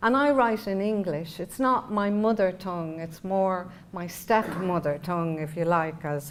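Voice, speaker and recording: A woman with a Dublin accent speaks at a medium pitch and a fairly slow pace. Her pitch varies in an ordinary way, with hardly any pauses. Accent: Irish, Dublin. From Ireland. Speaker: poet. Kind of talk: literary conversation. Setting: talk before an audience. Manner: halting, with many fillers.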